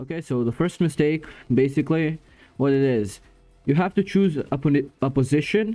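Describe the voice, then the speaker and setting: In a dark, mellow tone, a man speaks at a moderate pace with long, frequent pauses, on a very clean recording with a silent background. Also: ordinary pitch variation. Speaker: gaming YouTuber. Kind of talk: casual gaming guide talk to camera.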